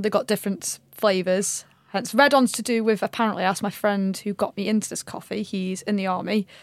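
At a fairly quick pace, a woman with a medium pitch speaks in a monotone, flat intonation, the sound dry and close with no echo on a very clean recording with a silent background. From Stoke-on-Trent, England. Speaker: personal trainer. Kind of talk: casual chat.

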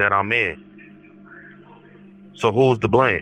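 Lively intonation over noticeable background noise. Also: man. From Milwaukee. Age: 30s. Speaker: incarcerated man. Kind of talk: interview testimony.

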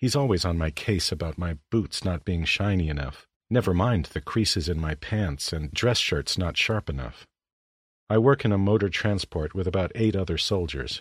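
Very deep, low male voice, somewhat breathy, with lively intonation and a moderate pace, in a very clean, silent recording with a dry, close sound and no echo. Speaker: voice actor. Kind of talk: reading aloud.

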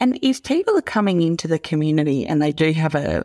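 On a very clean recording with a silent background, a woman with an Australian accent sounds dry and close, with no echo. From regional Australia. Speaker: podcast host. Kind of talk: interview with scripted intro.

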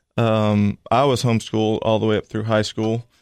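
Against a quiet background, a man speaks at a moderate pace and medium pitch, the sound dry and close with no echo. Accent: Tennessee. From Tennessee, Cookeville. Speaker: college football assistant coach. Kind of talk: interview.

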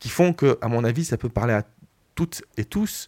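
Lively intonation at a moderate pace comes across in a very clean recording with a silent background. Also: man. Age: 50s. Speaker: film director. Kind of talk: radio interview. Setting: radio studio. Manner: hesitant, many fillers.

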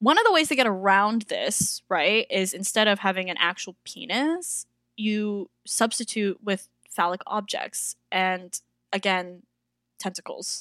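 A woman at a medium pitch with a bright, sharp tone and ordinary pitch variation, fairly slow in pace, in a very clean recording with a silent background and dry, close sound with no echo. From Toronto, Canada. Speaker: circus performer and drag artist. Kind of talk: casual interview chat.

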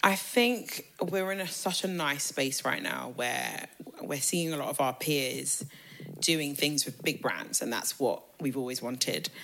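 Against noticeable background noise, a woman with a very deep, low pitch speaks at a fairly slow pace. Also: lively intonation. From England, raised in Ghanaian family. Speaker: PR agency co-founder. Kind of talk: casual chat.

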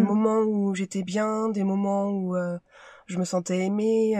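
In a very clean recording with a silent background, a woman speaks at a very slow pace in a medium pitch with a dark, mellow tone. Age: 30s. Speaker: medical secretary. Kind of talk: testimony. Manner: halting.

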